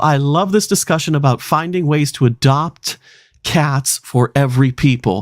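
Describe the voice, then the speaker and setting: A man with a fairly high pitch and lively intonation is heard in a dry, close sound with no echo, on a very clean recording with a silent background. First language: not English. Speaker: podcast host. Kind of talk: casual chat. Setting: live stream.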